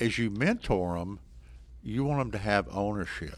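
A man talks at a moderate pace with a Texan accent. The recording is very clean, with a silent background. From Texas, small town (Sanger). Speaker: college basketball coach. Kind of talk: interview.

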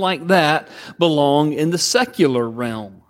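A man with a Southern US accent at a very slow pace. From US South, Georgia. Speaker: pastor. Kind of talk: sermon. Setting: church.

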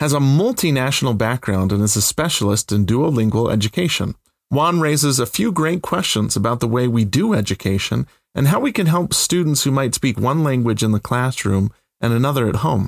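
In a dry, close, very clean recording with a silent background and no echo, a man with a Utah accent speaks at medium pitch with lively intonation and very even loudness. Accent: American (Utah). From central Utah. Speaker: podcast host, professor. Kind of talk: scripted narration.

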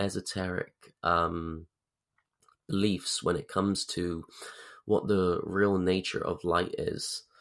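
A man talks very slowly on a very clean recording where the background is silent. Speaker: podcast host. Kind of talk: podcast intro and sales pitch. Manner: energetic, casual.

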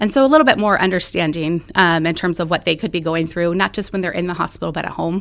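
A woman with an American accent speaks at a very fast pace with hardly any pauses. Her fairly low pitch shows ordinary variation. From central Illinois. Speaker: pediatric cancer doctor. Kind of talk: interview.

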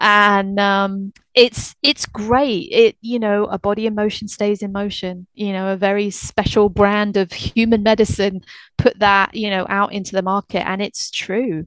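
At a fairly slow pace, a woman speaks at medium pitch with fairly even intonation, in a dry, close sound with no echo over a quiet background. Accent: British. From UK. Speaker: veterinary rehab technician. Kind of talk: casual interview chat.

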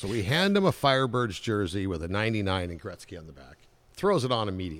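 Very fast and with lively intonation, a man speaks in a fairly low pitch with an American accent and big swings in loudness. The recording is very clean, the background silent. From Southern California (Anaheim). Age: 60s. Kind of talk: casual interview.

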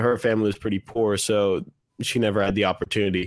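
A plain, everyday voice with an American accent, ordinary pitch variation and a moderate pace, on a very clean recording with a silent background. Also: man. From US, Washington D.C. area. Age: 30s. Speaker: guitarist and gear enthusiast. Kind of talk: casual chat.

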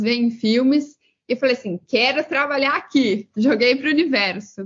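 A woman's high voice with fairly even intonation. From Brazil, interior of São Paulo state. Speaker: career mentor. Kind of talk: interview.

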